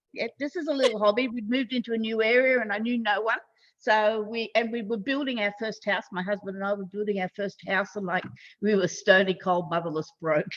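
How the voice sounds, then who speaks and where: Speaking with an Australian accent, a woman talks at a fairly quick pace. Her pitch is fairly high, with ordinary pitch variation. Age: 60s. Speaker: online marketing consultant. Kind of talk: podcast interview.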